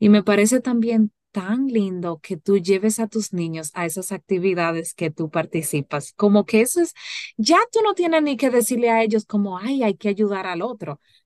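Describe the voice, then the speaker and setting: A woman speaks with a normal speaking voice at a medium pitch and a moderate pace. Her intonation is lively, and the sound is dry and close with no echo. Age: 30s. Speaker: podcast host. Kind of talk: casual chat.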